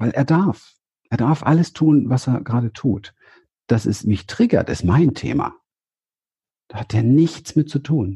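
Somewhat breathy and dark, mellow in tone, a man's medium-pitched voice moves at a fairly slow pace with long, frequent pauses. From Berlin, Germany. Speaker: therapist and seminar leader. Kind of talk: interview. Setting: video call, standing.

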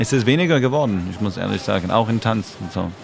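Over music in the background, a man talks fairly quickly at a fairly low pitch with lively intonation. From Canada, Montreal. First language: English or French (speaking German). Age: 40s. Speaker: dancer and choreographer. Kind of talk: casual chat.

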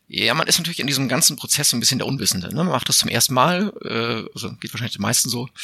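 A man talks at a very fast pace with hardly any pauses, his medium pitch carrying lively intonation. Noticeable background noise runs underneath. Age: 40s. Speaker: editor and homeowner. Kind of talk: interview.

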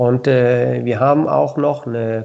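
A man speaks at a very slow pace. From southern Denmark. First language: Danish (speaking German). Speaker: sponsorship liaison at a bike component company. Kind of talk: interview. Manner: hesitant, many fillers.

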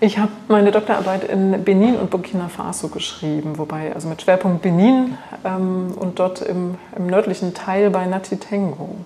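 A woman speaks with fairly even intonation. Noticeable background noise sits behind her. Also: medium pitch for a woman, moderate pace. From Thuringia, Germany. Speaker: biologist, botanical garden director. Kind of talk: interview. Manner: hesitant, with fillers.

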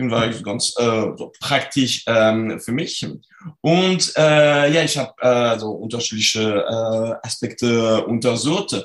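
A man speaks with a French accent at a very slow pace. His pitch varies in an ordinary way. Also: medium pitch for a man. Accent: French accent, clearly audible. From France. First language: French (speaking German). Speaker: sport psychology researcher. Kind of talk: interview. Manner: halting, many fillers.

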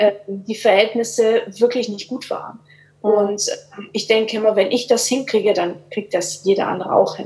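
A woman with an unremarkable speaking voice talks at a moderate pace in a fairly high pitch with fairly even intonation. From Swabia, Germany. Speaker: life coach. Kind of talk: casual interview.

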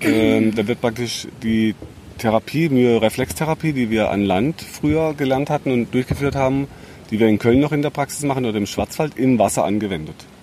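At a moderate pace, a man talks in an ordinary speaking voice, medium in pitch with ordinary pitch variation. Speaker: health podcast host and therapist. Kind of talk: casual interview chat.

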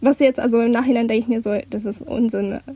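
A woman's fairly high pitch with vocal fry and a dark, mellow tone, monotone and flat in intonation, at a fairly quick pace. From Hamburg, Germany. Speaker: university student. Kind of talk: casual chat.

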